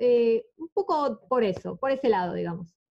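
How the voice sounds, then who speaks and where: A woman is speaking. Her pitch swings very widely. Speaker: podcast host. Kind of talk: interview. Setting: guest's home.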